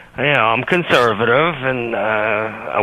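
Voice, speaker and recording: A man talks fairly slowly, noticeable background noise around him. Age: 60s. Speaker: caller. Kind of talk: call-in radio conversation. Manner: halting.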